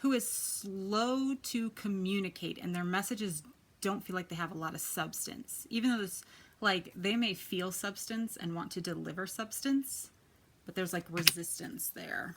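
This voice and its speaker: On a very clean recording with a silent background, a woman of medium pitch speaks at a moderate pace. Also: ordinary pitch variation. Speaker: tarot reader. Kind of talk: tarot reading video. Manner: casual, chatty.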